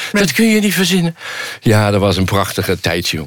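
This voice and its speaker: A man speaks at a moderate pace while noticeable background noise carries on behind him. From Rotterdam, Netherlands. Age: 50s. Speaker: philosophy lecturer. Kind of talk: casual chat.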